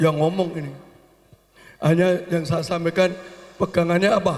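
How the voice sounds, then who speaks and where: A man's high-pitched voice, fairly even in intonation, with noticeable background noise. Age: 70s. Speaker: family elder. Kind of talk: speech at family gathering.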